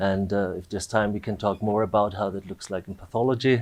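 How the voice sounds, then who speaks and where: A man with an Austrian accent, fairly low pitch and monotone, flat intonation. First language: German. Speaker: AI researcher, dean. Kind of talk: panel discussion.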